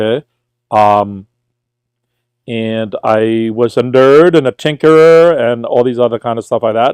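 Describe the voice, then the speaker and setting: A man with an American accent speaks at a fairly slow pace in a medium pitch, with ordinary pitch variation and long, frequent pauses. The sound is dry and close with no echo, over a quiet background. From New York, Brooklyn. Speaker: tutor. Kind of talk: casual livestream chat.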